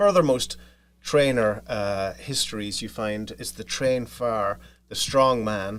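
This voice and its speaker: A man's voice in an Irish accent, with ordinary pitch variation. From Ireland, County Monaghan. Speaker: podcaster, family history storyteller. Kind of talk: interview. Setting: studio.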